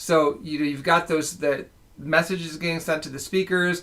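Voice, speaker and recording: Fairly high in pitch, a man speaks in a plain, everyday voice. His pace is moderate and his intonation fairly even. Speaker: skin care research director. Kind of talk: educational livestream talk.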